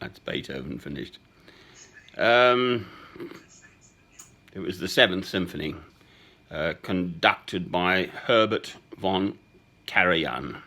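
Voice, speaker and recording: A man with an English accent speaks at a very slow pace with long, frequent pauses, using a very deep, low pitch, vocal fry, a bright, sharp tone, lively intonation and big swings in loudness. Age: 60s. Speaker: man recording voice messages to a woman. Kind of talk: personal voice message. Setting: at home. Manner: halting.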